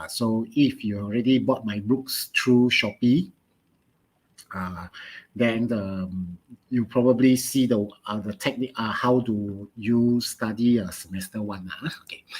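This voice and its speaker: A man speaks with a Malaysian accent at a medium pitch and ordinary pitch variation. His pace is fairly slow, and his loudness swings widely. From Malaysia, Pontian, Johor. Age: 40s. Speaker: chemistry teacher. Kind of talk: online lesson. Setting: live online stream. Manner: halting, many fillers.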